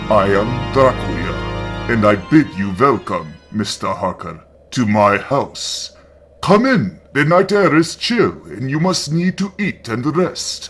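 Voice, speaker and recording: This man speaks at a fairly slow pace in a put-on character voice, his pitch medium. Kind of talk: gothic horror reading. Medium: read story. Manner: courtly, formal, measured.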